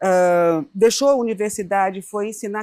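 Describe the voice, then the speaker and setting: Here is a woman with a normal speaking voice, medium pitch and fairly even intonation. The sound is dry and close, with no echo. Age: 60s. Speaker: founder of an arts education organization. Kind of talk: interview.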